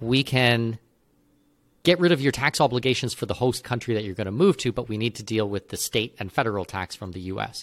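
A man with a Canadian accent and an ordinary speaking voice, medium in pitch, fairly quick in pace, with big swings in loudness, in a dry, close sound with no echo on a very clean recording with a silent background. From Canada. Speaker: expat consultant. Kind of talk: interview.

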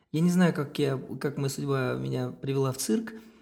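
A man speaks at a moderate pace in a fairly high pitch. His voice is somewhat breathy with a dark, mellow tone. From Kazakhstan. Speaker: circus artist and clown. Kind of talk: casual chat.

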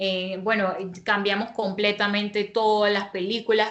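Monotone and flat, a woman speaks at medium pitch. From Panama. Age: 20s. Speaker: interviewee, young married woman and home baker. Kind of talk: personal testimony in interview.

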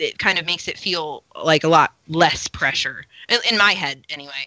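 An ordinary speaking voice with fairly even intonation. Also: woman. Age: 20s. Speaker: LARP player and ukulele musician. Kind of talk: casual chat.

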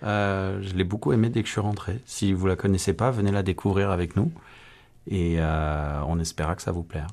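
At a moderate pace, a man with a very deep, low pitch speaks over a quiet background. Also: ordinary pitch variation. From France. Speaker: amateur stage actor. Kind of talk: radio interview. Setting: studio.

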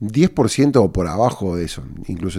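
A man's very deep, low pitch and dark, mellow tone in a very clean recording with a silent background. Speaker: entrepreneur and podcast host. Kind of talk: casual advice monologue answering listener questions. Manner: halting, with repeated words.

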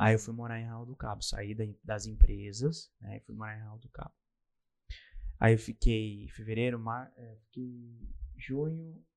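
A man speaks at a fairly slow pace, with long, frequent pauses and big swings in loudness. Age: 20s. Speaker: podcaster. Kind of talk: interview.

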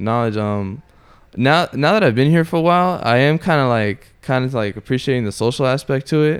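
With a plain, everyday voice and an American accent, a man speaks at a moderate pace and medium pitch with lively intonation. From Orlando, Florida. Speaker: martial arts student and former inmate. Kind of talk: casual chat.

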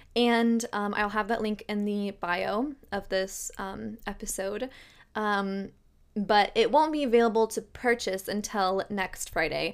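A woman's animated, medium-pitched voice at a fairly slow pace, with ordinary pitch variation, on a very clean recording with a silent background. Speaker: podcast host and tarot reader. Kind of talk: casual solo podcast monologue. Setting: video podcast recorded on camera. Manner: chatty, animated, laughs often.

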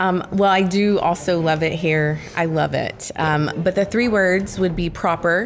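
A woman with an American accent, fairly low in pitch, at a fairly slow pace with fairly even intonation and very even loudness, music in the background. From Texas. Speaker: former teacher, company team member. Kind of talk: casual chat.

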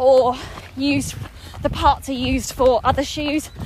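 A woman's high-pitched voice amid noticeable background noise. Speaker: podcast host and personal trainer. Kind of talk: casual interview while jogging. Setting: outdoors in a park.

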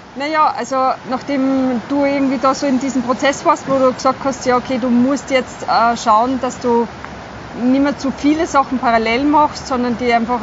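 Noticeable background noise runs under a woman speaking at a high pitch. She keeps a moderate pace and fairly even intonation. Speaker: health educator. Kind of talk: casual chat. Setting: outdoors by a river.

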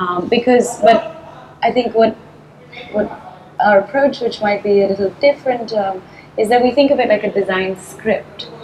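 A woman's fairly high voice at a moderate pace, with long, frequent pauses, ordinary pitch variation and noticeable background noise. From Chennai, India. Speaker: artist and designer with theatre background. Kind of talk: casual interview conversation.

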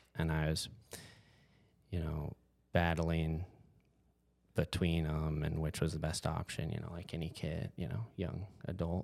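With long, frequent pauses, a man talks at a fairly slow pace in a very deep, low voice and a flat, monotone delivery. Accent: American. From Montana, US (Whitefish). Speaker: chiropractor. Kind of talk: casual interview.

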